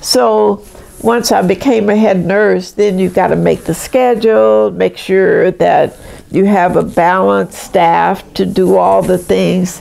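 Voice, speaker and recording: A woman with an American accent speaks at a very slow pace and very even loudness, with noticeable background noise behind her. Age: 80s+. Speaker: retired nurse. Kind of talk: life story interview. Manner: conversational.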